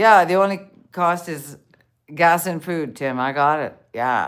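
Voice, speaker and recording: On a very clean recording with a silent background, a woman with a Canadian accent speaks at a fairly low pitch. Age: 60s. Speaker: van-life vlogger. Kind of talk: casual live-stream chat. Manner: halting.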